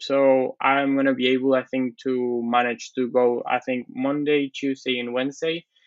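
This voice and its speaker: Here a man's medium-pitched voice stays monotone, with flat intonation. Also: moderate pace. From Argentina. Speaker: show jumping rider and horse dealer. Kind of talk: interview.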